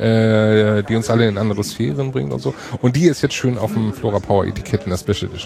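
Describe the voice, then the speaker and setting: Over noticeable background noise, the speaker talks at a very fast pace with lively intonation. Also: man, fairly low pitch for a man. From Hamburg. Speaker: podcast host. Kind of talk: casual chat. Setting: podcaster table at a hacker congress.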